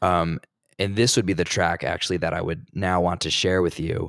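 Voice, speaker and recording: A man speaks with an American accent and a very deep, low pitch. The sound is dry and close, with no echo. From US Northeast, New Jersey. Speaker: music community organizer and musician. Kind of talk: casual interview chat. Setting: remote call.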